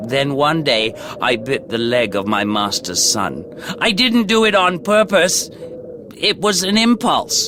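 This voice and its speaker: In a hoarse, put-on character voice, a man speaks fairly slowly at a fairly high pitch with very wide swings over clear background noise. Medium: read story. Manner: gruff, know-it-all.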